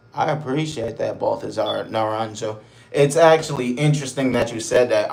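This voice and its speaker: Keeping a moderate pace and fairly even intonation, this man talks through audible room echo and noticeable background noise. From Buffalo, New York, US. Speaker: live streamer. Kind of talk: casual live stream chat. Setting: motel room.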